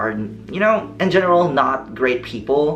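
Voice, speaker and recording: Music plays in the background as a man speaks at a moderate pace. Room echo is audible. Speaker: vlogger. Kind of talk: casual vlog talk.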